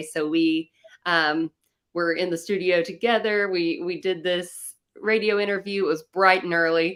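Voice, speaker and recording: A woman with a Southern US accent speaks at a fairly low pitch with fairly even intonation. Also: moderate pace. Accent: Southern American. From North Carolina. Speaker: country singer-songwriter. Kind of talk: interview answer.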